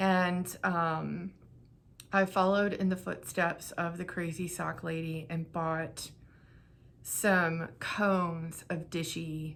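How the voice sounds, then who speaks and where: Speaking at a very slow pace, a woman keeps a fairly low pitch and a monotone, flat intonation. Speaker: knitting vlogger and craft seller. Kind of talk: casual vlog talk to camera. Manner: rambling with fillers.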